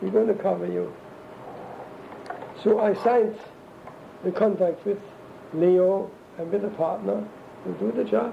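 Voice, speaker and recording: A man with a German accent speaks at a moderate pace with long, frequent pauses over noticeable background noise. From Germany. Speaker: interviewee recounting life story. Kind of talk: oral history interview. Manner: halting.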